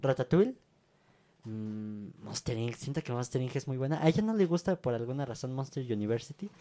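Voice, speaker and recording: Recorded dry and close with no echo, a man talks at a moderate pace with a Mexican accent. His medium-pitched voice has a dark, mellow tone and lively intonation. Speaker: podcast co-host. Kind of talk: casual chat. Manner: halting.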